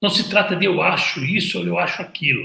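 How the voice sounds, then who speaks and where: Raised, projected male voice with a bright, sharp tone and audible room echo. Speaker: hairdresser and visagism teacher. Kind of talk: casual talk to camera. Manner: occasional stammer and repeated words; animated.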